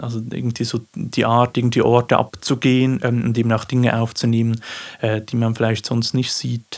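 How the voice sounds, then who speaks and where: With a Swiss accent, a man talks at a moderate pace and medium pitch, his intonation monotone and flat. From Switzerland, Aargau (Baden). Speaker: poet and teacher. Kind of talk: interview. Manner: halting.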